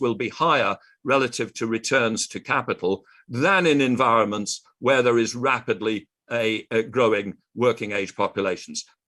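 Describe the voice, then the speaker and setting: A man with a British accent at a moderate pace against a quiet background. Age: 60s. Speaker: economist and conference speaker. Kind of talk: conference presentation.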